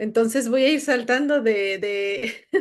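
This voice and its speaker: A woman talks with a high pitch. Her pace is fairly slow. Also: quiet background. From Puebla, Mexico. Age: 40s. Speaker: writer and crime journalist. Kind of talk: interview.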